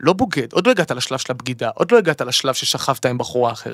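Speaking very fast, a man with a fairly high pitch swings very widely in pitch, recorded with a dry, close sound and no echo. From Israel, Eilat. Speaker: singer and songwriter. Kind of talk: casual chat. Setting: studio. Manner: halting with repetitions.

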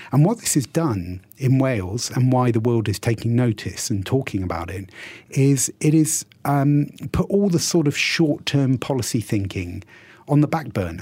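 A somewhat breathy, dark, mellow voice with a British accent, very wide pitch swings and a moderate pace. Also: man, medium pitch for a man. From UK. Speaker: university dean. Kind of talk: radio interview.

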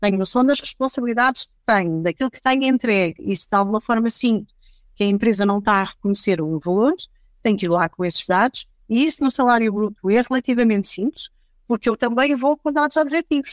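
In a dry, close sound with no echo, a woman talks fairly quickly in an ordinary speaking voice. Her fairly high pitch carries lively intonation and big swings in loudness. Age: 40s. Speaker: HR director. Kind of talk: casual panel discussion.

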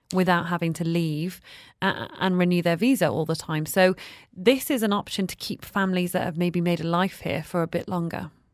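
A woman's plain, everyday voice, fairly low in pitch, at a fairly quick pace with fairly even intonation. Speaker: radio host. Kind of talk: radio interview. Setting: studio.

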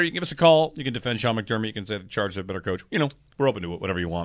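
A man's bright, sharp voice with an American accent and very wide pitch swings, over a quiet background. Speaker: sports radio host. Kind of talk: sports talk radio discussion. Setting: studio.

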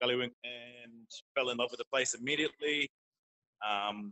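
A man talks with an Australian accent. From North Queensland, Australia. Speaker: teacher. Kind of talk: interview. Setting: parents' room of a child play area. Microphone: poor internet audio.

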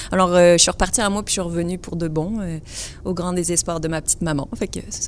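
A woman's fairly low voice at a very fast pace, with fairly even intonation. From France. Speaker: gym owner. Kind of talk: panel discussion. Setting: stage with audience.

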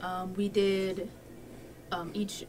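Background noise is noticeable here. A woman talks over it at a medium pitch. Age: 30s. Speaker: high school English teacher. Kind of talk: casual interview. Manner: hesitant with many fillers.

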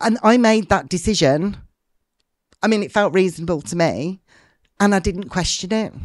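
Long, frequent pauses break up speech delivered at a moderate pace with ordinary pitch variation over a quiet background. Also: woman, medium pitch for a woman. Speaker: martial arts business leader. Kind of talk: interview conversation.

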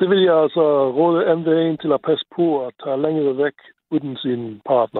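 With an ordinary speaking voice, a man talks at a moderate pace in a fairly high pitch with ordinary pitch variation. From Luxembourg. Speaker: caller, mechanical engineer. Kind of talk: phone-in chat.

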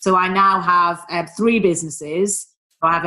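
A woman with a Manchester accent speaks in a bright, sharp tone. Her pitch is fairly low and her intonation fairly even. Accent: Mancunian northern English. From Manchester, northern England. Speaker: business mentor and former travel executive. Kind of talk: casual interview.

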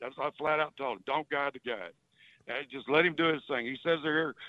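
With a Southern US accent, a man speaks at a fairly high pitch. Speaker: fishing guide. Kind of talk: casual radio chat. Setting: phone call. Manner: rambling.

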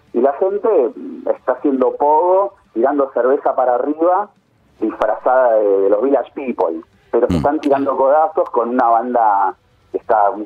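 A fairly slow pace with music in the background. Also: man. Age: 40s. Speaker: journalist. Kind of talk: interview. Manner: halting, many repetitions.

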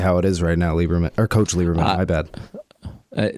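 The voice moves at a very fast pace with very even loudness. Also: man, very deep, low pitch for a man. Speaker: radio show producer. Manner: monotone, flat, unexcited; flat delivery, doesn't sound excited.

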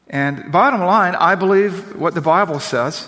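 High pitch from a man, with noticeable background noise. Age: 50s. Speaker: pastor. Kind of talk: sermon. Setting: church.

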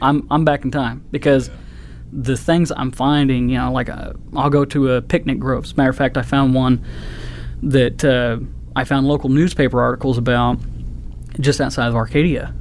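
The speaker has an American accent and a moderate pace. Long pauses come often. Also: man. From Oklahoma. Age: 30s. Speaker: metal detecting hobbyist. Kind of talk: casual interview.

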